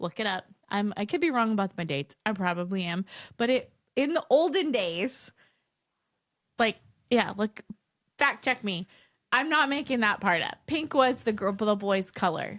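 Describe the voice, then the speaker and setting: A woman speaks loudly in a fairly high voice at a moderate pace, her animated tone swinging very widely in pitch, with long, frequent pauses and a dry, close sound that has no echo. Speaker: podcast co-host. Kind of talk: casual chat.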